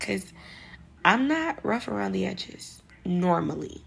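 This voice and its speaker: A woman speaks in a New York accent. Her pace is fairly slow. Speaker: vlogger giving advice. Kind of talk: casual monologue vlog. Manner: casual, slangy.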